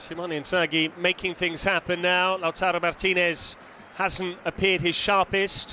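Pitched high, a man speaks with monotone, flat intonation. His pace is moderate. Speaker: football commentator. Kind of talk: live sports commentary. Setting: stadium commentary.

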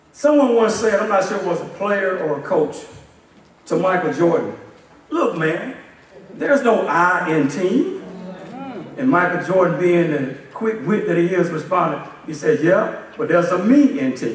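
A man talks at a moderate pace. There is audible room echo. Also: lively intonation. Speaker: assistant pastor. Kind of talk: sermon. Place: church.

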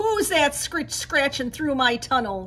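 Doing a put-on character voice, a woman growls at a high pitch and a fairly slow pace over clear background noise. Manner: growling.

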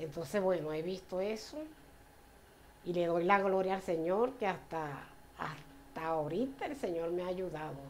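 At a fairly slow pace, a woman speaks over light background noise. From Venezuela, Puerto La Cruz; Venezuela. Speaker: church member. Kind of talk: personal faith testimony. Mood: warm, grateful, smiling. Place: home room. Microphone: camera far.

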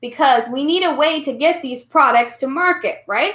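With audible room echo over a quiet background, a woman uses a raised, projected voice with a bright, sharp and animated tone. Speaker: history teacher. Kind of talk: online class review lecture. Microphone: webcam.

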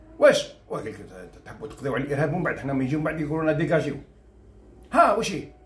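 Very fast and fairly high-pitched, a man speaks with ordinary pitch variation. His loudness swings widely. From Algeria. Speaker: journalist and video commentator; journalist, video commentator. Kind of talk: solo commentary video. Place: home room.

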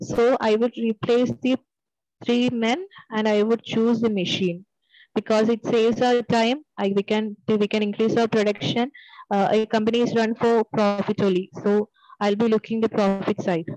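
Recorded dry with no echo against a quiet background, a woman with a fairly high pitch and a dark, mellow tone speaks at a moderate pace, with very even loudness and fairly even intonation. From Kerala, Trivandrum; Kerala. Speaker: bank job candidate; candidate. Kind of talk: mock group discussion practice. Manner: halting. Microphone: video call.

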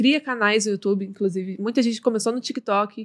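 Against a quiet background, an unremarkable speaking voice moves at a fairly quick pace with fairly even intonation. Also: woman. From Brazil. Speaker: streamer and influencer; streamer, influencer. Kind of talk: casual interview chat. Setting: studio. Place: studio. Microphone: studio mic.

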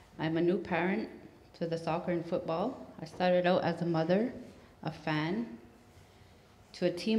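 A woman's fairly low voice at a moderate pace, with fairly even intonation. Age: 30s. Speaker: council candidate. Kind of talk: campaign speech. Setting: stage with audience. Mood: slightly nervous, earnest. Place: hall.

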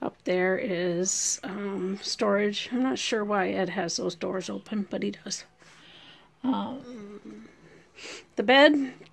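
A woman speaking at a very slow pace, with vocal fry and ordinary pitch variation. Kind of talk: casual home tour narration. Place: home room. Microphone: phone near.

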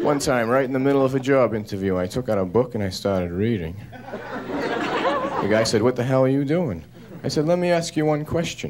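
Crowd noise fills the background as a man speaks with lively intonation. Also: moderate pace. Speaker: stand-up comedian. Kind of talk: stand-up comedy routine. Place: stage. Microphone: handheld.

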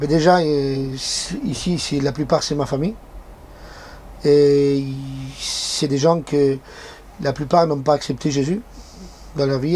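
Over faint background noise, a man with a fairly high voice speaks at a fairly slow pace, using fairly even intonation and long, frequent pauses. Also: slightly mellow tone.

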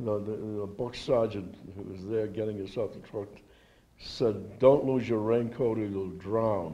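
At a fairly slow pace, a man with a fairly low pitch and a dark, mellow tone keeps his intonation fairly even while his loudness swings widely. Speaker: World War II veteran. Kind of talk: oral history interview, an elderly veteran recalling wartime memories. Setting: interview at a veterans' reunion. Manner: halting, with frequent repeated words and false starts; reminiscent and precise about dates, with occasional chuckles. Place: hall. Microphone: handheld.

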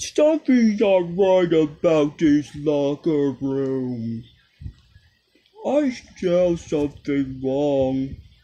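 A man's fairly high put-on character voice at a very slow pace. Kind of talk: comic overacting. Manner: menacing, mock-taunting, comic.

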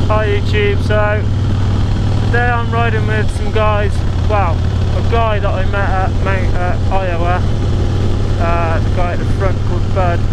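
Loud background noise surrounds a dry sound with no echo, and the speech has hardly any pauses. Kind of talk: casual vlog chat. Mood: mildly disappointed about weather. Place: motorbike.

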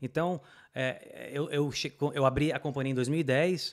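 A man talks in a normal speaking voice with fairly even intonation. The background is quiet. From Brazil. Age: 30s. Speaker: immigrant business owner and motorcyclist; podcast guest. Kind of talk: casual interview chat. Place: studio. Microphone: studio mic.

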